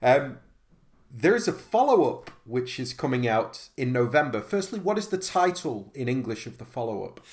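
A man with a British accent speaks at a moderate pace in a fairly high, somewhat breathy voice. His pitch swings very widely, and his loudness shifts a great deal. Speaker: podcast host. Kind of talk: interview.

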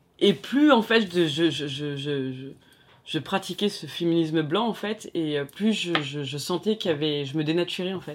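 There is noticeable background noise. A woman with a fairly low pitch speaks at a fairly slow pace. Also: ordinary pitch variation. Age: 40s. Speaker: daughter of a Cambodian refugee. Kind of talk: interview conversation.

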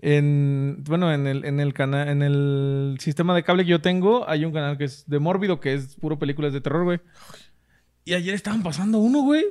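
Moderate pace and ordinary pitch variation. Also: man, fairly high pitch for a man. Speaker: podcast co-host. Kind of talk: casual chat.

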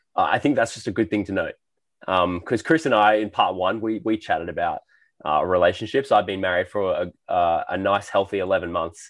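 Over a quiet background, a man with an Australian accent speaks at a fairly quick pace with a fairly low pitch and ordinary pitch variation. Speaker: podcast host. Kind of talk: casual interview chat.

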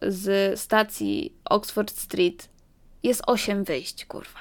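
The recording is very clean, with a silent background. A woman at a medium pitch speaks with lively intonation. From London, Poland-born family. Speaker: podcaster, student. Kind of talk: casual monologue podcast. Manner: animated.

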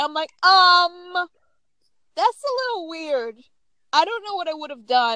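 A woman speaks in an extremely high, raised and projected voice with a bright, sharp tone, very wide pitch swings and big swings in loudness. Her pace is fairly slow, with long, frequent pauses. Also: dry, close sound with no echo. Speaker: podcast host. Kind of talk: casual chat.

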